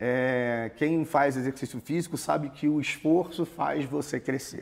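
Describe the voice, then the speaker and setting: A man speaks at a fairly slow pace. His pitch is fairly high, with fairly even intonation. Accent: Carioca. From Rio de Janeiro, Brazil. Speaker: immigration consultancy founder. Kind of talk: interview. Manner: conversational.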